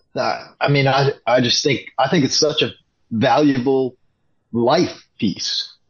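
Speaking with an American accent, a man talks at a very slow pace in a fairly high, somewhat breathy voice. His pitch varies in an ordinary way, and his loudness stays very even. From Wisconsin, River Falls. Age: 50s. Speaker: fan. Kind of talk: casual chat. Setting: video call.

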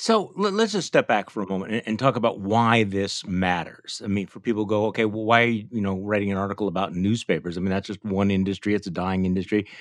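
In an American accent, a man talks very fast at a fairly low pitch, his intonation monotone and flat. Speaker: podcast host. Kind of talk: interview conversation.

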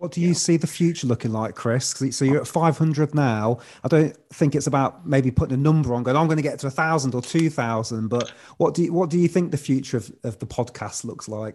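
A man's fairly high, fairly quick delivery in a normal speaking voice, with ordinary pitch variation, over a quiet background. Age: 30s. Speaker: podcaster and breathing coach. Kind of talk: casual chat. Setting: video call.

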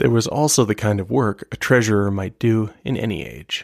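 The recording is very clean, dry and close, with no echo and a silent background, as a man with a normal speaking voice talks at a moderate pace in a fairly low pitch with ordinary variation. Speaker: podcast host. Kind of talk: scripted history narration, storytelling. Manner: measured, steady storyteller pace.

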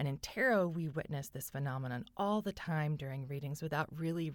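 A woman with a Californian accent and a very deep, low pitch, with ordinary pitch variation, on a very clean recording with a silent background. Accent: Californian American English. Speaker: tarot reader and podcaster. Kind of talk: solo podcast monologue.

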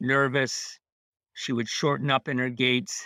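A man's medium-pitched voice, bright and sharp in tone, with fairly even intonation, a dry, close sound with no echo, and a very clean recording over a silent background. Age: 80s+. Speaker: horse rider and trainer. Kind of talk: interview conversation. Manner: halting.

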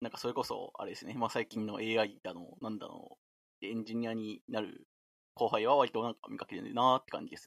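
A man speaks at a fairly quick pace, his loudness swinging a lot. The sound is dry and close, with no echo. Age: 20s. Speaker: software engineer with a mathematics degree. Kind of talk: casual chat.

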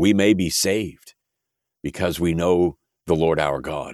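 With an American accent, a man speaks at a very deep, low pitch with vocal fry, in a dry, close sound with no echo on a very clean recording with a silent background. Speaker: prayer podcast host. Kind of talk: fervent prayer, earnest and reverent. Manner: earnest, humble, pleading.

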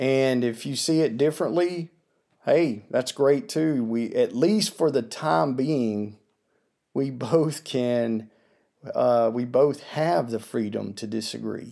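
At a very slow pace, a man speaks with lively intonation in a dark, mellow tone. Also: medium pitch for a man. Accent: American. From US South. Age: 40s. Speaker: podcast host. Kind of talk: solo commentary monologue.

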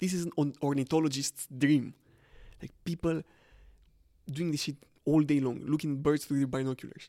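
Recorded dry and close with no echo and a silent background on a very clean track, a man with a dark, mellow tone talks at a moderate pace. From Romania. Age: young. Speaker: podcast co-host. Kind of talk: casual chat.

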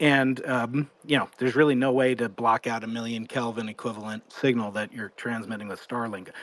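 An unremarkable speaking voice at a fairly quick pace, with fairly even intonation and hardly any pauses. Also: man, medium pitch for a man. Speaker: audience member. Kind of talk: question from audience. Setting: online audio space.

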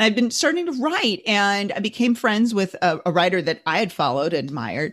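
Speaking at a fairly quick pace with very wide pitch swings and vocal fry, a woman is heard on a very clean recording with a silent background. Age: 50s. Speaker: social media ghostwriter. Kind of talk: casual chat.

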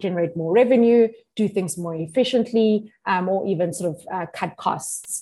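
Her tone is dark and mellow as this woman talks at a moderate pace. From South Africa, Limpopo. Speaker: venture platform country manager. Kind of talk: interview.

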